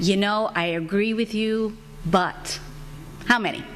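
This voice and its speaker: A woman talks at a moderate pace with fairly even intonation. Audible room echo surrounds her voice. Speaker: advocacy organizer, panelist. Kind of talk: conference talk. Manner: loud.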